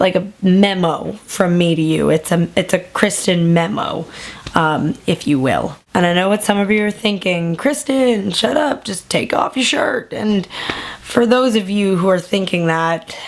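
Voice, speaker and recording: A woman's medium-pitched voice with lively intonation, at a fairly slow pace, over noticeable background noise. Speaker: YouTuber. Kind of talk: casual vlog update. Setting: at home at night.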